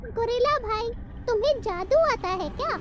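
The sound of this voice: An extremely high-pitched cartoonish character voice talks at a moderate pace.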